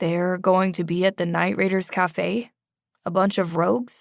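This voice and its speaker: A raspy, put-on character voice from a woman, medium in pitch and moderate in pace, on a very clean recording with a silent background. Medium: read story. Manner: teasing, playful.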